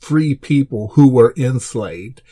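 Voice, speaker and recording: This man has an American accent and a medium-pitched, dark, mellow voice. He sounds somewhat breathy, with ordinary pitch variation. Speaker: podcast host. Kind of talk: unscripted rant. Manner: halting, repeated words.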